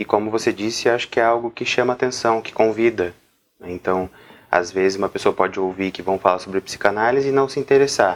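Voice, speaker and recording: A man's unremarkable speaking voice, medium in pitch, fairly quick in pace, with fairly even intonation. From Brazil, interior of São Paulo state. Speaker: psychologist, interviewer. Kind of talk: interview conversation.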